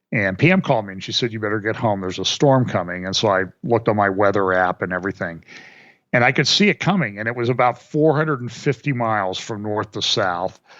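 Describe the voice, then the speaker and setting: A man with a Midwestern American accent speaks very fast at a fairly low pitch, his pitch varying in an ordinary way. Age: 60s. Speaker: financial commentator. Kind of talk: casual interview chat.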